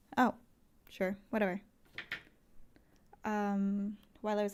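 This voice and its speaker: A woman is speaking. She is soft-spoken. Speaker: livestreamer. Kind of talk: casual chat. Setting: live stream. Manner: quiet today.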